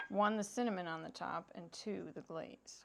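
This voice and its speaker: A woman talking at a fairly slow pace over noticeable background noise. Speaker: cooking vlogger. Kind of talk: cooking tutorial. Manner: animated.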